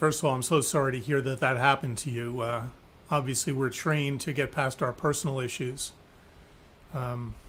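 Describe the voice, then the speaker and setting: A man speaks in a plain, everyday voice at a medium pitch. His pace is fairly quick and his intonation fairly even. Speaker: physician, webinar host. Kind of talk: webinar interview host talk.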